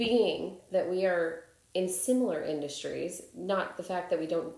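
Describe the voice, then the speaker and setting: Audible room echo colors the recording. The woman talking has an American accent. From Chicago. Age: 30s. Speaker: podcast host. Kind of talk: casual interview chat.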